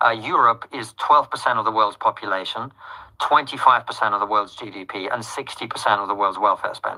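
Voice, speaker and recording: In a British accent, the speaker talks at a fairly quick pace with a bright, sharp tone. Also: man, medium pitch for a man, fairly even intonation. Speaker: political commentator. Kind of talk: interview.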